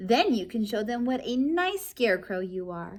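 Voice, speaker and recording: A woman uses a put-on character voice that is squeaky and fairly high-pitched, with a gentle tone. She speaks at a moderate pace. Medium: read story. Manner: gentle, patient.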